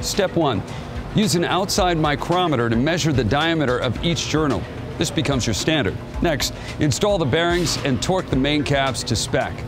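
A man's voice at a moderate pace, with clear music in the background. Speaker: TV show host. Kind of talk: tutorial. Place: garage. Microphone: lapel.

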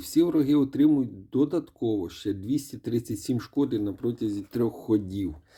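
At a fairly slow pace with hardly any pauses, a man speaks in a medium pitch with a dark, mellow, somewhat breathy tone and lively intonation on a very clean recording with a silent background. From Ukraine. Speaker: mobile game reviewer. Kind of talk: gaming commentary. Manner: casual, with filler hesitations.

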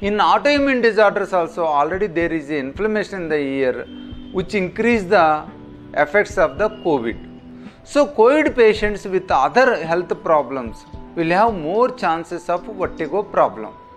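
Talk at a moderate pace with faint music in the background. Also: man, high pitch for a man. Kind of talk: medical explainer to camera. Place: office.

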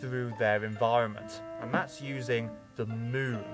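A man talks while clear music runs behind him. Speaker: nature channel host. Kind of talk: educational vlog explanation. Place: garden.

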